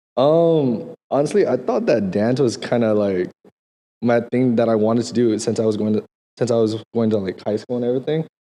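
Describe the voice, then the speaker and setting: This man has a medium pitch and ordinary pitch variation. He talks at a fairly quick pace. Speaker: dancer and streamer. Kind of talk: casual chat. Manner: animated.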